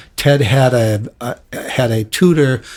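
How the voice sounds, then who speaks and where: A man with an American accent sounds somewhat breathy, with ordinary pitch variation. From Detroit, Michigan. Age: 70s. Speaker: rock bassist. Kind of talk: interview. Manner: halting, many fillers and repeats.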